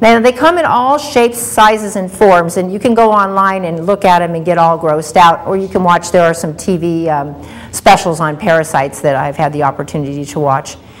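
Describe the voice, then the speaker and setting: A woman talks with lively intonation at a fairly low pitch. Her pace is fairly quick, with hardly any pauses. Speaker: health show host. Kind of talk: lecture. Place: studio.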